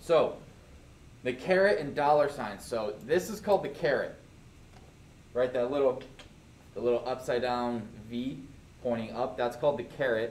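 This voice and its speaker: Amid audible room echo, a man talks at a moderate pace and medium pitch with ordinary pitch variation and long, frequent pauses. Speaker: programming teacher. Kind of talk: classroom lecture. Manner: casual.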